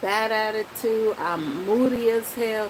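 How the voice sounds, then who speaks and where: A woman with an American accent speaks in an animated tone at a fairly high pitch. Noticeable background noise runs underneath. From Dominican Republic, then New York City. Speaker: vlogger. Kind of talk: casual vlog talk. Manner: slow talker.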